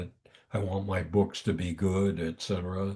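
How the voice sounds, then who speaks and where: Speaking in an American accent, a man with a very deep, low pitch sounds somewhat breathy at a fairly slow pace. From US. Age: 90s. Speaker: thriller author and former marine. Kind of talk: interview. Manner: halting, many fillers.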